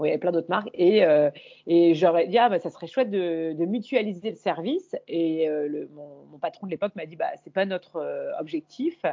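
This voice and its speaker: Speaking at a moderate pace with ordinary pitch variation, a woman with a fairly low pitch and an unremarkable speaking voice shows big swings in loudness. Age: 40s. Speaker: YouTuber and image coach. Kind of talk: interview conversation.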